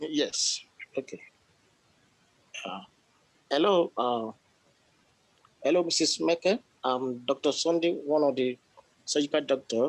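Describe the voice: A man with a fairly high pitch speaks at a slow pace, leaving long, frequent pauses. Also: ordinary pitch variation.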